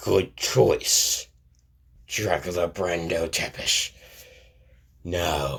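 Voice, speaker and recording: A man's raspy put-on character voice with a very deep, low pitch, at a very slow pace with long, frequent pauses. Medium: read story. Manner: slow, solemn, ponderous.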